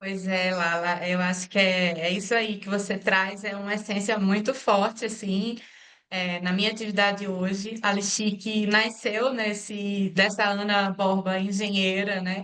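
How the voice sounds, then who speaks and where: Audible room echo surrounds a woman's bright, sharp voice, pitched medium and delivered fairly slowly in a flat monotone. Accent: Pernambuco. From Brazil, Pernambuco. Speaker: engineer and social entrepreneur. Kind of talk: interview. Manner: halting, many fillers.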